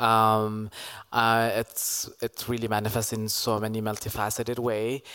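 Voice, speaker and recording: Very slow and monotone with flat intonation, a man speaks at a medium pitch in a bright, sharp tone. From Ethiopia. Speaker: performance artist and activist. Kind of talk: panel discussion. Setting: stage with audience.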